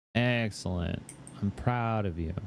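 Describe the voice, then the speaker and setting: A man with a fairly low pitch speaks very slowly in a tired tone. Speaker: streamer. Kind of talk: casual chat. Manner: tired-sounding, sarcastic.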